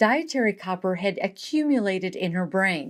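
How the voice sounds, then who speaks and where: In a plain, everyday voice, a woman speaks with a medium pitch and lively intonation on a very clean recording with a silent background. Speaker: medical journalist. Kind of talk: documentary narration.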